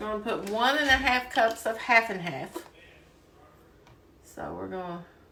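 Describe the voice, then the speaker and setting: Speaking with a Kentucky accent at a fairly slow pace, a woman leaves long, frequent pauses, her intonation lively and her loudness swinging widely, against noticeable background noise. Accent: Southern US (Kentucky). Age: 60s. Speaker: home cooking video host. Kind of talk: cooking tutorial. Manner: casual, chatty with fillers.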